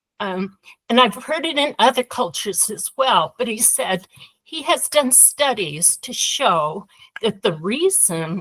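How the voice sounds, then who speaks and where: In a Utah accent, a woman speaks at a fairly slow pace with very wide pitch swings and a bright, sharp tone, in a dry, close sound with no echo. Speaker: workshop participant. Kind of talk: group discussion.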